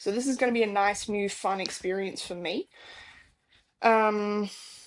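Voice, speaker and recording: Speaking with an Australian accent, a woman keeps a moderate pace, a medium pitch and fairly even intonation. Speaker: stage manager, podcast co-host. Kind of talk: casual chat.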